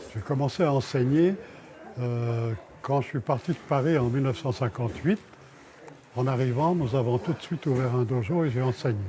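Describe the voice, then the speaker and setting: Amid noticeable background noise, a man at medium pitch talks at a moderate pace with ordinary pitch variation and long, frequent pauses. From France. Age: 90s. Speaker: martial arts master. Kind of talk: documentary interview.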